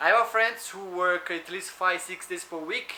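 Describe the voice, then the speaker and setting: With an Italian accent, the speaker uses a raised, projected voice with ordinary pitch variation. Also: man. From Italy. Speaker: food delivery driver and vlogger. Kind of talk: tutorial. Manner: fast.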